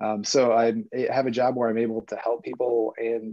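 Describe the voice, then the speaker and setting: A man talks at a fairly quick pace. He has a normal speaking voice at a medium pitch. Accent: American. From United States. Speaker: guest, swimmer and traveler. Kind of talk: casual chat.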